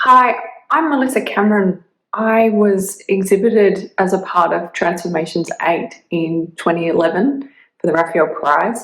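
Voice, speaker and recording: A woman's medium-pitched voice in an Australian accent, with lively intonation at a moderate pace. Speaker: artist. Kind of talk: prerecorded video statement. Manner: hesitant, many fillers.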